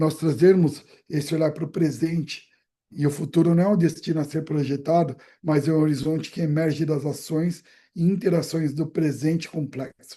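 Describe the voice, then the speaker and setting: Fairly even intonation accompanies a dark, mellow tone in this voice. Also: man, fairly high pitch for a man. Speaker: brand strategy specialist. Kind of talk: presentation on video call. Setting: video call. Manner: fast.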